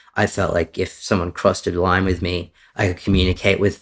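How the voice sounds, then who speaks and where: An Australian-accented man speaks at a moderate pace with a very deep, low pitch. The recording is very clean, with a silent background. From Australia, Victoria and Sydney. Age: 30s. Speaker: software developer sharing detransition story. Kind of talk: interview testimony.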